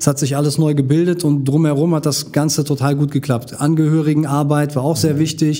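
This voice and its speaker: The speaker goes very fast with hardly any pauses, keeping a dark, mellow tone, very even loudness and monotone, flat intonation. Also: man, fairly high pitch for a man. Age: 40s. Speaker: social worker and martial arts teacher. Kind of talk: casual interview.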